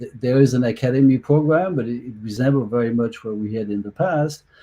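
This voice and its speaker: A man talks in a French accent at medium pitch, with a dark, mellow, somewhat breathy tone. His pace is moderate and his pitch varies in an ordinary way. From France. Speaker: soccer executive. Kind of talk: panel discussion.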